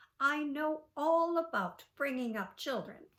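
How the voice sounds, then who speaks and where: A woman's high-pitched, put-on character voice at a fairly slow pace. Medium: read story.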